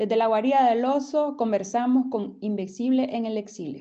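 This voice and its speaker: A woman with a fairly high-pitched voice and a dark, mellow tone. She talks at a moderate pace. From Nicaragua. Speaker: podcast host. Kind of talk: interview.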